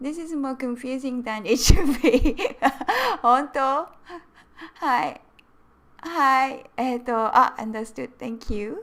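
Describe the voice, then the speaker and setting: Speaking at a very slow pace with a Japanese accent, a woman uses a high pitch, ordinary pitch variation and big swings in loudness. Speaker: Japanese language teacher. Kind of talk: live-stream language lesson. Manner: animated.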